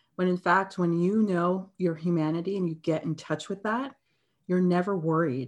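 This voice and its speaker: With a Canadian accent, a woman has an ordinary speaking voice, fairly low in pitch, moving at a moderate pace with ordinary pitch variation against a quiet background. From Canada. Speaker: anti-bias facilitator. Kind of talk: interview.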